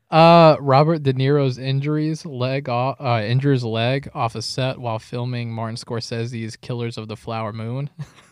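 A man talks at a moderate pace and medium pitch with fairly even intonation and hardly any pauses, in an unremarkable speaking voice. The recording is very clean, with a silent background. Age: 20s. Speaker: film podcast co-host. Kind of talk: casual chat.

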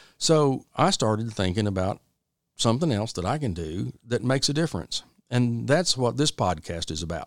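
The speaker has an American accent and a moderate pace. Their pitch swings very widely. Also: man, medium pitch for a man. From Texas. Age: 50s. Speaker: podcast host, business owner. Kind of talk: solo podcast monologue. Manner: casual, folksy.

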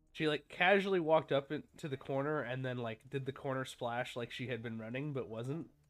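A man's plain, everyday voice at a medium pitch, fairly quick with hardly any pauses and ordinary pitch variation. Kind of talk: casual watch-along chat; live wrestling commentary. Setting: remote recording, watching replay. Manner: excitable, swearing, play-by-play reactions.

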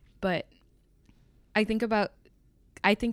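A woman speaks in a monotone, flat intonation on a very clean recording with a silent background. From Indian heritage. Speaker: student podcast host. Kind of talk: casual chat.

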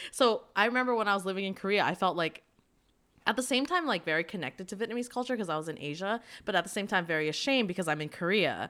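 An animated, bright, sharp tone in a Canadian accent, with lively intonation at a very fast pace, in a very clean recording with a silent background. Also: woman, medium pitch for a woman. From Canada, Vancouver. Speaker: podcast host. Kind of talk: casual chat.

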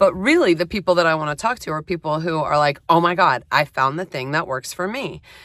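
A woman with a very deep, low pitch speaks at a fairly quick pace with ordinary pitch variation. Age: 50s. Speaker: podcast host, professional organizer and massage therapist. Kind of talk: solo monologue. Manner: casual, halting with fillers.

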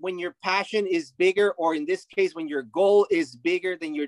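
In a Spanish accent, a man talks at a fairly quick pace with a high pitch and ordinary pitch variation, the sound dry and close with no echo. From Mexico. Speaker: retired baseball player. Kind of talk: interview. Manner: animated.

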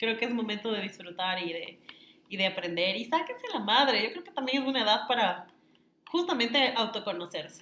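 In an ordinary speaking voice, a woman with a fairly high pitch talks at a fairly quick pace, with lively intonation and big swings in loudness. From Ecuador, Quito. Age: 30s. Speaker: influencer and marketing consultant. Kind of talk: casual interview. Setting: in person, same room.

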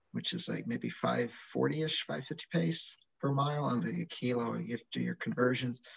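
Somewhat breathy, a man talks at a moderate pace in a medium pitch. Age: 50s. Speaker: physician. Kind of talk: casual chat.

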